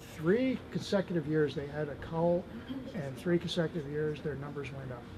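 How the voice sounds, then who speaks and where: Over noticeable background noise, a man speaks at a moderate pace. His pitch is fairly high, with ordinary variation. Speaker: animal advocate. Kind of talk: interview answer. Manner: soft-spoken.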